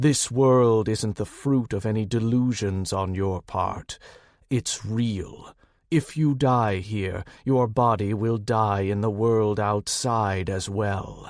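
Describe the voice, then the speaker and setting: Using a put-on character voice, a man speaks at a fairly slow pace. His voice is booming, at a medium pitch. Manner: stern, warning.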